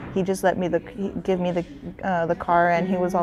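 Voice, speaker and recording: Over music in the background, a woman at medium pitch speaks at a fairly quick pace. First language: Spanish. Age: 20s. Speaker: interviewee sharing life story. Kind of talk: personal interview testimony. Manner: halting, many fillers.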